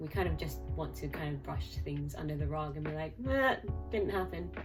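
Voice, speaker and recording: A woman talks at a fairly quick pace with music in the background. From Hong Kong. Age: 20s. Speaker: trainee clinical psychologist. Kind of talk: casual talk to camera.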